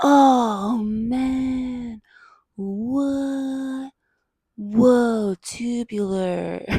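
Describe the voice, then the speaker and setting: A put-on character voice is delivered at a fairly high pitch. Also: female-sounding voice. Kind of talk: casual slang. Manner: dazed, stoner-like.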